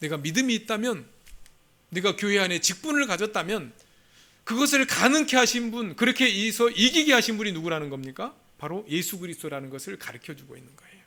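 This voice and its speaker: In a raised, projected voice, a man with a high pitch and a bright, sharp tone talks at a fairly quick pace, with very wide pitch swings and big swings in loudness. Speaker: pastor. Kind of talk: sermon. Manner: fast.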